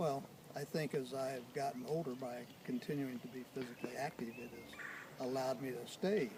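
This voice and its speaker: A man's medium-pitched voice with ordinary pitch variation at a moderate pace, over noticeable background noise. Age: 70s. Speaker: retired tree farmer. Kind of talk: interview. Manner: hesitant, many fillers.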